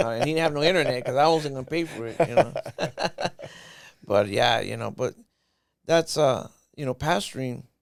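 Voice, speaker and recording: With an American accent, a man talks at a fairly quick pace and a fairly high pitch, using ordinary pitch variation. Long pauses come often. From Southern California (Los Angeles, then Desert Hot Springs). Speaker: pastor. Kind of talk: testimony.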